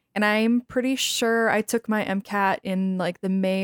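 A woman with a Midwestern US accent speaks at a moderate pace with fairly even intonation. The sound is dry and close with no echo, on a very clean recording with a silent background. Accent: US Midwest. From Wisconsin. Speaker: medical student. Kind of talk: casual chat.

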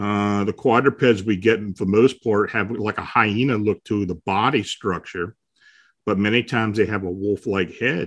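An unremarkable speaking voice with an American accent talks at a moderate pace. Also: man. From south-central Pennsylvania. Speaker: paranormal researcher and blogger. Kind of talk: casual interview.

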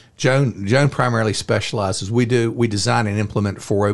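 An unremarkable speaking voice from a man, fairly low in pitch, moves at a fairly quick pace with ordinary pitch variation. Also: quiet background. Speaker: investment firm founder. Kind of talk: casual interview.

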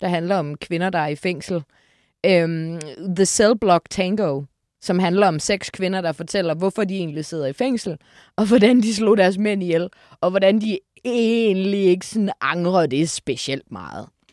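In a very clean recording with a silent background, a woman with a plain, everyday voice speaks at a fairly slow pace and a medium pitch. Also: dry, close sound with no echo. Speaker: musical enthusiast. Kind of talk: casual chat.

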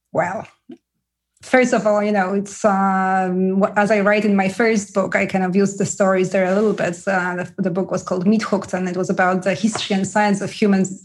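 A woman with a Polish accent, fairly quick pace and a monotone, flat delivery. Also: medium pitch for a woman. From Poland. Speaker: author. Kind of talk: interview chat.

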